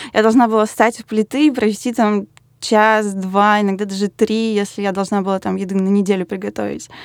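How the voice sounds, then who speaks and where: At a fairly quick pace, the voice stays monotone and flat in a very clean recording with a silent background. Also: woman, medium pitch for a woman. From Russia, Yaroslavl. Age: 20s. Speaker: designer. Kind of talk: casual chat.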